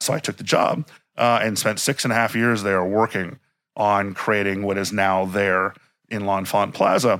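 A man with an American accent uses a normal speaking voice at a fairly low pitch and moderate pace, with fairly even intonation. The recording is very clean, with a silent background. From Miami, Florida. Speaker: museum director and historian. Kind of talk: interview. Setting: inside a museum.

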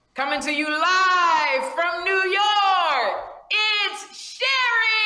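A put-on character voice at an extremely high pitch, very slow, with audible echo

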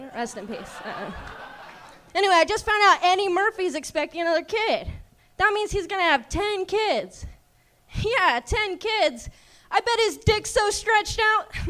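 A woman speaks in a raised, projected voice at an extremely high pitch, her lively intonation broken by long, frequent pauses. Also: moderate pace. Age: young. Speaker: comedian. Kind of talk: stand-up. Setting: stage with audience.

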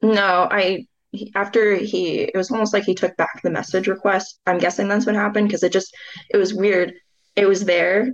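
Her loudness very even, a woman speaks at a medium pitch with monotone, flat intonation. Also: moderate pace. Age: 20s. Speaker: listener seeking advice. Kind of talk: casual chat.

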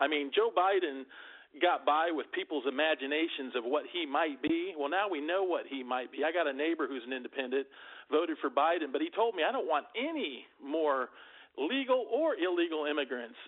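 This man has an unremarkable speaking voice with an American accent, a fairly high pitch, lively intonation and a fairly quick pace. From US Midwest and Virginia. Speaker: caller. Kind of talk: call-in opinion. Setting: phone call.

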